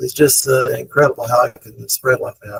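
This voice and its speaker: A man's voice comes across dry and close with no echo, delivered at a moderate pace. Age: 60s. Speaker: fireworks store owner. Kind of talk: testimonial. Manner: hesitant, many fillers.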